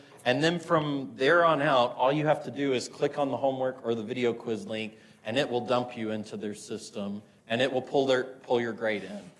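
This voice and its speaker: Amid audible room echo, a man with an American accent speaks at a medium pitch and moderate pace, with ordinary pitch variation. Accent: Southern, sometimes comes out. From US South, Murfreesboro, Tennessee. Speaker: physics instructor. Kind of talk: lecture. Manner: casual, many fillers.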